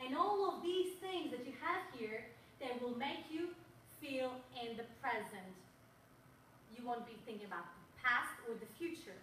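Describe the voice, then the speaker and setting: A woman's high-pitched voice at a fairly slow pace, with audible room echo. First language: not English. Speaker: public speaker. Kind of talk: presentation to audience. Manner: animated.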